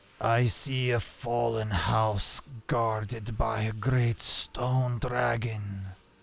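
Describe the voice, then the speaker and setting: Very slow delivery in a put-on character voice from a man, pitched medium. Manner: mystical, ominous, portentous.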